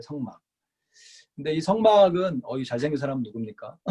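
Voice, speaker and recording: At a moderate pace, a man with a fairly high pitch and a dark, mellow tone speaks somewhat breathily with lively intonation. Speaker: pastor teaching Bible study. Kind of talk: lecture.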